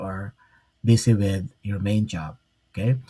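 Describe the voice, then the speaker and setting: A man with a Filipino accent at a fairly slow pace, somewhat breathy, dark and mellow in tone, with fairly even intonation. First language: Tagalog. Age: 60s. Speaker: online business mentor. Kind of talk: live stream talk. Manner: halting, many fillers.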